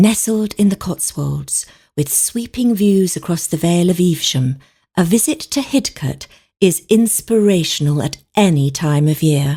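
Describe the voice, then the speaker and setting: A woman speaks in a calm tone at a moderate pace, her pitch fairly low and somewhat breathy. Her intonation is lively. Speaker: voice actor. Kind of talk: tourism promo read. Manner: calm, inviting.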